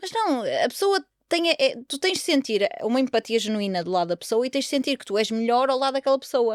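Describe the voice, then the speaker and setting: A woman talks at a high pitch in an animated tone, her voice making very wide pitch swings. She leaves hardly any pauses, and the sound is dry and close with no echo. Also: fairly quick pace. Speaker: podcast host. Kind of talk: casual chat.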